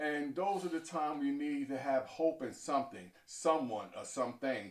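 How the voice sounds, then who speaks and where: Hardly pausing, a man with an American accent uses an ordinary speaking voice at a fairly high pitch and a moderate pace, with ordinary pitch variation. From New York City (Harlem). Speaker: deacon and traveling minister. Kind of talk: testimony. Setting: on location interview.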